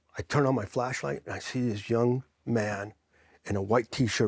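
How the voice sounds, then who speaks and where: On a dry, close recording with no echo, a man with an American accent speaks at a moderate pace and medium pitch with lively intonation. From New Jersey. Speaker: military veteran. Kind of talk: interview storytelling. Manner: animated.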